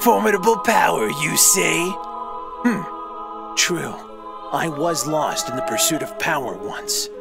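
Over clear music in the background, a man does a put-on character voice with a fairly high pitch, vocal fry, and lively intonation, speaking slowly with long, frequent pauses.

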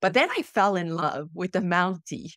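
At a fairly slow pace, a woman speaks over a quiet background. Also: dry sound with no echo. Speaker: podcast guest. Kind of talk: interview answer. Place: home room.

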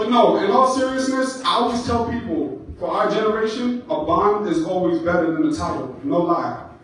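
A man speaks with strong room echo around his voice. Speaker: stand-up comedian. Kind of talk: stand-up comedy set with crowd laughter. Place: stage.

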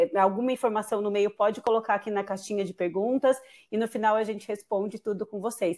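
With an ordinary speaking voice, a woman talks at a fairly high pitch and a fairly quick pace. The background is quiet. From Brazil. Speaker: international student recruiter. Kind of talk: webinar presentation. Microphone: video call.

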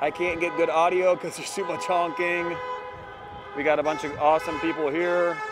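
A man speaks at a fairly quick pace in a dry sound with no echo, with noticeable background noise behind him. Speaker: citizen journalist. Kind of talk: street interviews. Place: street. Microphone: phone near.

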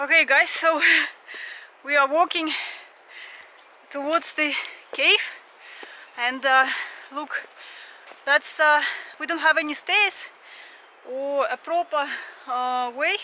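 A woman with a high pitch and a bright, sharp tone speaks at a slow pace with long, frequent pauses and ordinary pitch variation.

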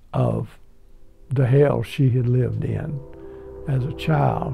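Very slow speech from a man, quiet background behind him. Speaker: husband of the film's subject. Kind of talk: documentary interview answer. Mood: reflective, tender. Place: home room. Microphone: lapel.

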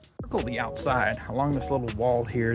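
The sound is dry with no echo, and clear music plays in the background. A man speaks at a fairly quick pace. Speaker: city walk vlogger. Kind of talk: casual vlog chat. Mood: relaxed, upbeat. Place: street. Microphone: phone near.

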